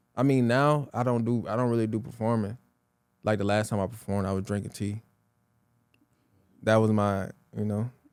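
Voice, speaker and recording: A man speaks at a fairly quick pace with fairly even intonation, broken by long, frequent pauses. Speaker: rapper and entrepreneur. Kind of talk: casual interview.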